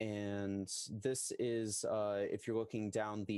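An ordinary speaking voice from a man, fairly low in pitch and at a fairly slow pace, in a dry sound with no echo and a quiet background. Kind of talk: presentation to committee. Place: home room. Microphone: headset.

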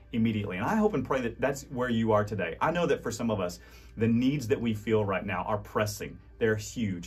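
A man's warm tone and lively intonation over music in the background. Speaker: pastor. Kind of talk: devotional message ending in fervent prayer, spoken directly to the audience. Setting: recorded video message to online audience. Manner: earnest, pleading, heartfelt; halting and repetitive in prayer with restarts; warm, encouraging, sincere. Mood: earnest, warm, hopeful. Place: studio.

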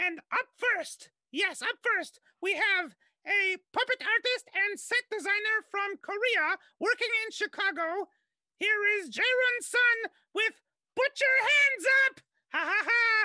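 Someone shouts loudly in a put-on character voice at extremely high pitch, keeping a fairly slow pace. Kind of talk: live show hosting. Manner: loud, shouting.

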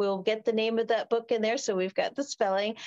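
A woman's voice against a quiet background. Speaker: spiritual podcast host. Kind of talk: interview. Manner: animated, laughs often. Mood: warm, heartfelt. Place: home room. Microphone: webcam.

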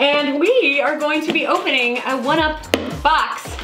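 A woman's raised, projected voice at a high pitch and moderate pace, with ordinary pitch variation and clear music in the background. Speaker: channel host. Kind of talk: casual unboxing talk to camera. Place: home room.

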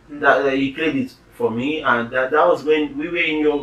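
A man at a moderate pace, with audible room echo. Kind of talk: casual conversation. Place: home room.

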